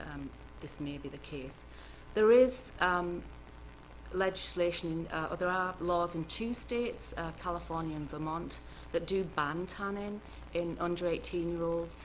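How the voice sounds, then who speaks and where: Moderate pace in an English accent, with big swings in loudness and audible room echo. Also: woman. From northern England, Cumbria. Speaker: cancer epidemiologist. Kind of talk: lecture. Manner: soft-spoken; hesitant, many fillers.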